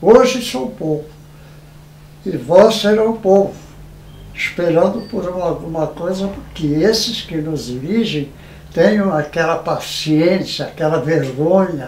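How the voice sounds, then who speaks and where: At a very slow pace with long, frequent pauses, a man speaks in a high pitch with ordinary pitch variation over noticeable background noise. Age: 80s+. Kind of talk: interview answer.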